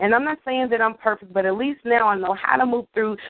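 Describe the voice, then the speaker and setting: Speaking in a normal speaking voice, a woman holds a fairly high pitch that varies in an ordinary way. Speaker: guest co-host of poetry radio show. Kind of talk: casual interview chat.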